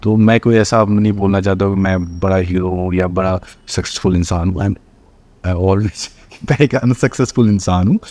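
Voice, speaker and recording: A man speaks slowly at a fairly low pitch, with a dark, mellow tone. The intonation is fairly even, and the sound is dry with no echo. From Bihar, India (Madhubani district); Bihar. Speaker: actor and film director; actor. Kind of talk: interview. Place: studio.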